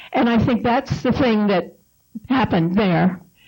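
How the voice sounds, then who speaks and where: Her voice is somewhat breathy and fairly high in pitch. The woman speaks with lively intonation. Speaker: panelist, spouse of the author. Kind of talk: panel discussion talk.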